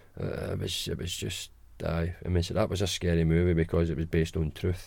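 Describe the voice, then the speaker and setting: A man with a Glaswegian accent talks at a very fast pace in a dark, mellow tone. The recording is very clean, with a silent background. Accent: Glaswegian Scottish. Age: 40s. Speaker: guest, host's father. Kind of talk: casual chat.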